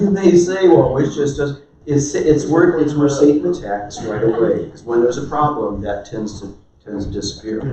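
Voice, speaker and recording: A man talks at a fairly high pitch. Audible room echo and noticeable background noise surround him. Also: lively intonation, moderate pace, big swings in loudness. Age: 70s. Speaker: marriage workshop speaker. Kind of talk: sermon-style marriage talk.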